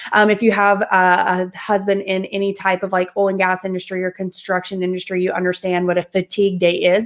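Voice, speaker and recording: The speaker has an American accent and a fairly quick pace. There are hardly any pauses. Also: woman. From US South. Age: 20s. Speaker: mindset and manifestation coach. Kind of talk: interview testimony.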